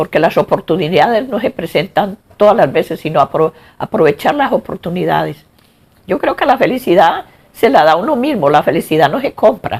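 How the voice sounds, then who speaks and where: A woman talks at a moderate pace with a medium pitch. Her pitch swings very widely. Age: 70s. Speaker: grandmother interviewee. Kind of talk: interview.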